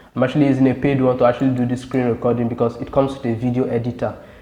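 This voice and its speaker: The intonation stays monotone and flat. Noticeable background noise is present. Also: man. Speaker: tech tutorial YouTuber. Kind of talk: tutorial. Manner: fast.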